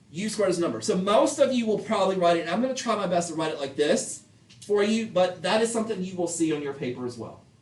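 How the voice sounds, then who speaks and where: Speaking at a very fast pace in a high pitch, a man is heard over noticeable background noise. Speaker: math teacher. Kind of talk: classroom lecture.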